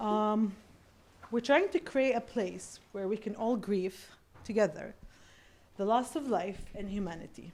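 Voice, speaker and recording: A woman's fairly high voice, with ordinary pitch variation, a fairly slow pace and long, frequent pauses. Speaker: event organiser. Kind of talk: event welcome speech. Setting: live event.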